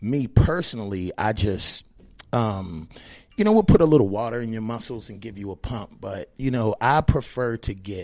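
A plain, everyday voice from a man with an American accent, fairly low in pitch and at a fairly slow pace. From Maryland, US (Annapolis). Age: 40s. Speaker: fitness trainer. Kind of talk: casual interview.

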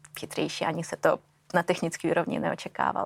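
A woman with a Russian accent is heard in a very clean recording with a silent background. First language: Russian (speaking Czech). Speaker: AI specialist. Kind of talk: interview.

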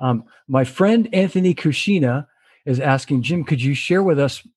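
Somewhat breathy and fairly high in pitch, a man speaks with lively intonation. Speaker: drummer and show host. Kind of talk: casual interview chat. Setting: video call. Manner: jokey, friendly.

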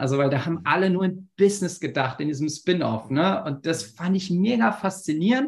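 A man speaks in a plain, everyday voice at a moderate pace, with ordinary pitch variation over a quiet background. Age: 40s. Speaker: company founder and consultant. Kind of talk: interview.

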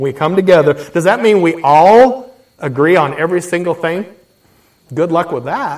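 A man talks in an animated tone at a high pitch. His intonation is lively. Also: moderate pace. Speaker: pastor. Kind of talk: sermon.

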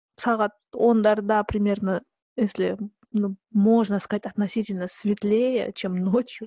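A woman speaks very slowly at a medium pitch in a flat monotone, her dark, mellow voice somewhat breathy and the sound dry and close with no echo. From southern Kazakhstan. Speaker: podcast host. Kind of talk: casual chat.

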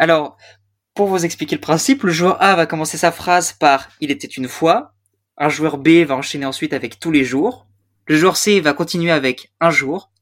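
Recorded very cleanly against a silent background, a man with a fairly high pitch and a normal speaking voice talks at a moderate pace with ordinary pitch variation. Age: young. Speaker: podcast host. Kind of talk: casual chat.

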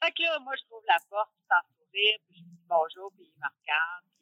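A woman speaks in a Quebec accent. Her pitch variation is ordinary. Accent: Québécois French. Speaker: bus driver. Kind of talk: interview.

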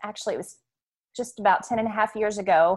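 Against a quiet background, a woman with a Southern US accent speaks at a fairly high pitch. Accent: Southern US (Oklahoma). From Oklahoma City. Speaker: homeschooling mom and ranch owner. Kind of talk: casual interview about faith.

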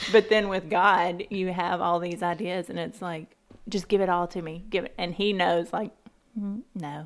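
A woman's plain, everyday voice at a medium pitch, moderate pace and fairly even intonation, with big swings in loudness. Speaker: podcast co-host. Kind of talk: casual chat about faith.

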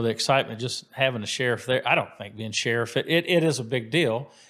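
Delivered at a fairly quick pace with an American accent, this is an unremarkable speaking voice. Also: man. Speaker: county sheriff. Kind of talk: interview. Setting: studio.

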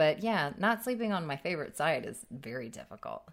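Her pitch is fairly low, and she speaks at a moderate pace. This woman's pitch swings very widely. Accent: American. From US military family, raised moving around. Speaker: comedy podcast co-host. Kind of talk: casual chat. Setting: studio.

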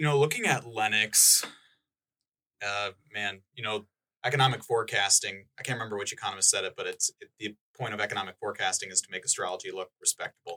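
With an Upper Midwest US accent, a man speaks at a very fast pace with big swings in loudness, the sound dry and close with no echo. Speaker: economic development specialist. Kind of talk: casual chat.

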